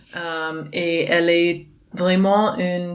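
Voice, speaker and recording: A woman speaks with a non-native accent at a fairly low pitch. Her intonation stays fairly even over noticeable background noise. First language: not French (speaking French). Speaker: dance teacher and festival organizer. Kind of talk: interview. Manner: halting, many hesitations.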